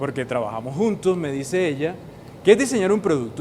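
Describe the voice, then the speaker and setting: Noticeable background noise sits behind a man with a Caribbean Colombian accent. His intonation is lively. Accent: Colombian Caribbean coastal. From northern Colombia (Caribbean coast). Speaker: university professor. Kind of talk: educational explainer. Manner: engaging, uses rhetorical questions.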